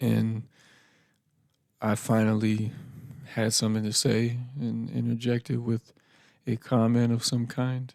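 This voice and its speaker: This soft-spoken man talks at a fairly slow pace and medium pitch, with monotone, flat intonation. He leaves long, frequent pauses. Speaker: podcast host. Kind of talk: personal reflective monologue. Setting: home podcast setup. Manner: quiet, soft-spoken; laid-back, casual with fillers.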